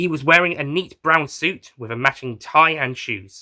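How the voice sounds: A man's bright, sharp voice, fairly high in pitch, with ordinary pitch variation at a moderate pace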